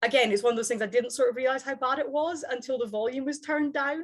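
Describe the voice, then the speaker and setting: A woman with a Scottish accent speaks at a high pitch, using ordinary pitch variation. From Scottish Highlands. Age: 30s. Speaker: psychology lecturer. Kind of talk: interview. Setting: video call. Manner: halting, many fillers and restarts.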